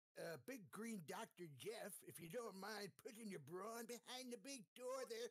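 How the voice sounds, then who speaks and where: Using a put-on character voice, a man talks at a moderate pace in a high pitch with hardly any pauses. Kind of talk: comic overacting. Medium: actual play. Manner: gruff, blustery.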